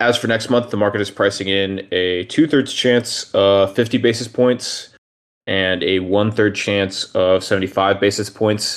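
A man's normal speaking voice, fairly low in pitch, with ordinary pitch variation and a fairly slow pace. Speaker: macro analyst. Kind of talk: presentation of slides on macro.

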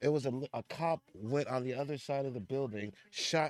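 A normal speaking voice from a man at medium pitch, with ordinary pitch variation. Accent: American. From United States. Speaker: podcast co-host. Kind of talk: casual chat.

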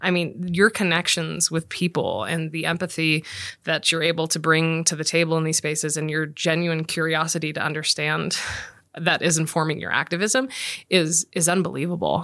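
In an ordinary speaking voice, a woman talks at a moderate pace with fairly low pitch and fairly even intonation. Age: 40s. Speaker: alumni podcast host. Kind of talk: interview conversation.

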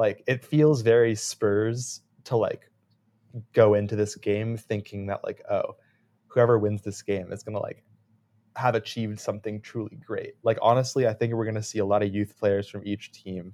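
Speaking at a moderate pace, a man with a fairly low pitch has a dark, mellow tone and monotone, flat intonation. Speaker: soccer podcast co-host. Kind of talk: casual sports chat.

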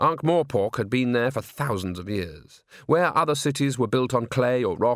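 Lively intonation over plain reading aloud

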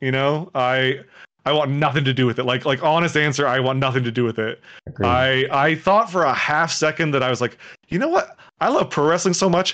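A man with an ordinary speaking voice talks at a fairly quick pace. His fairly high pitch shows ordinary pitch variation. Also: very even loudness. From Toronto, Canada. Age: 30s. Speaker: streamer. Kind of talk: casual interview chat.

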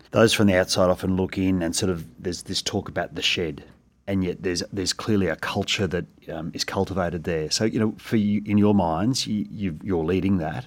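Delivered at a moderate pace with fairly even intonation, the speech has an Australian accent and a very clean recording with a silent background. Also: man. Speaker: school principal. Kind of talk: casual interview chat.

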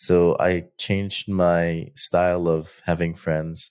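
On a very clean recording with a silent background, a man speaks with a very deep, low pitch. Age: 30s. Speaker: podcast host and entrepreneur. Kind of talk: solo monologue podcast. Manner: casual, unscripted speech with fillers.

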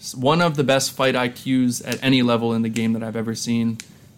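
With an American accent, the speaker uses a plain, everyday voice at a moderate pace and fairly even intonation. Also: man. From US, central Pennsylvania (Lancaster). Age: 20s. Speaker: kickboxer and fashion designer. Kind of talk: casual interview chat.

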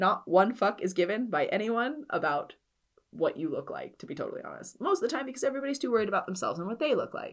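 The speaker talks very fast in an animated tone. The recording is very clean with a silent background. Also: woman. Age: 30s. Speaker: personal trainer and podcast host. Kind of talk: solo podcast monologue.

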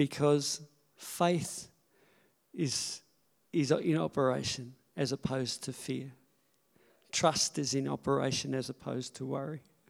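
A man talks at a fairly slow pace with a medium pitch and fairly even intonation. His speech has long, frequent pauses. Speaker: pastor. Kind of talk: church service talk, scripture reading, offering message. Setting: church. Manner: emotional, chuckling, casual.

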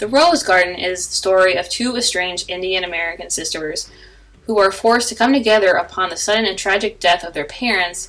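At a fairly quick pace, a woman uses an ordinary speaking voice with medium pitch and ordinary pitch variation. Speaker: podcast host. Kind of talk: podcast intro and outro announcements.

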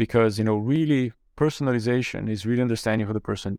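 A man with a Brazilian accent speaks with fairly even intonation, the sound dry and close with no echo on a very clean recording with a silent background. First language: Portuguese. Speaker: corporate venture capital executive. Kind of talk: interview conversation.

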